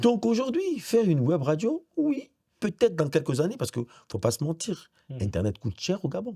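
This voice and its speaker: A man speaks at a moderate pace in a dark, mellow tone with vocal fry. His pitch swings very widely. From Gabon. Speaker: radio director and presenter, voice-over actor. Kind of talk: interview answer.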